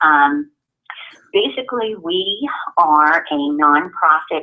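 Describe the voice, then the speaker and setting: A woman speaks with a New York accent. Her pitch is very deep and low. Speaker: guide dog school outreach representative. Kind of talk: presentation to a group.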